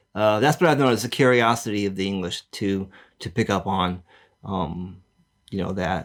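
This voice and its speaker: A man with an American accent talks at a moderate pace against a quiet background. His pitch is fairly low, with ordinary variation. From United States. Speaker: podcast co-host. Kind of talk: casual chat. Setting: on camera podcast. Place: home room. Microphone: studio mic.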